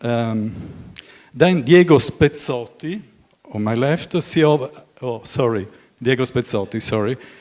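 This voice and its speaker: A man speaks with an Italian accent at a medium pitch. His pace is moderate and his intonation lively. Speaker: moderator, journalist. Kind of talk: panel moderation. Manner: halting.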